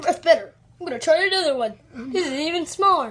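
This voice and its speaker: A man's cartoonish character voice, extremely high-pitched and very fast. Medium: puppet.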